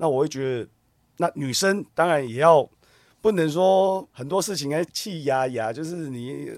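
A man with a normal speaking voice, fairly high-pitched, at a fairly slow pace, with ordinary pitch variation and big swings in loudness, in a very clean recording with a silent background and a dry, close sound with no echo. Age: 40s. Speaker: TV drama actor. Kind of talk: casual interview chat.

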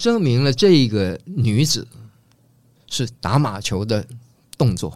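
A man of medium pitch speaks at a very slow pace with lively intonation. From Taiwan, family from northeast China. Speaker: design professor. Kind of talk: casual interview.

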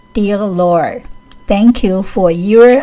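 Music sits in the background while a woman with a medium pitch speaks at a very slow pace. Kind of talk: prayer reading aloud; fervent, intimate spoken prayer. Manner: earnest, pleading, heartfelt.

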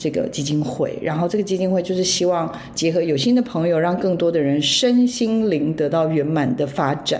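A woman's fairly low voice with lively intonation, very even loudness and hardly any pauses, amid noticeable background noise and audible room echo. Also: moderate pace. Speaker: radio host. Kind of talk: casual chat.

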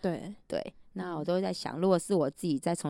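With a dark, mellow tone and fairly low pitch, a woman speaks at a fairly quick pace with ordinary pitch variation. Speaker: preschool teacher. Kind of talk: casual chat.

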